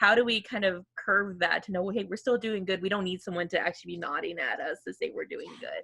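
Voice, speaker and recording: Hardly pausing at all, a woman speaks at a very fast pace. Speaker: career services staff. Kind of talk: casual chat.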